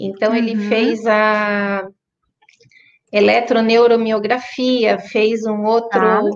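A woman's fairly high, monotone voice, flat in intonation, at a very slow pace with long, frequent pauses. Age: 40s. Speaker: Parkinson's patient. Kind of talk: testimony.

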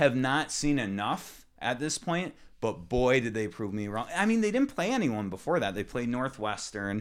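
A man speaks at a moderate pace with hardly any pauses, in an unremarkable speaking voice of medium pitch and lively intonation, on a very clean recording with a silent background. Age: 20s. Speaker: podcast co-host, financial analyst. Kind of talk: casual chat.

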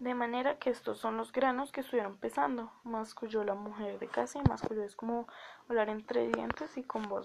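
The speaker reads in a natural voice. The delivery sounds like reading.

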